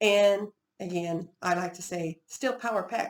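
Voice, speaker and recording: With an Oklahoma accent, a woman speaks with ordinary pitch variation. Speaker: Bible teacher. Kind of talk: Bible study teaching. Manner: halting, with false starts.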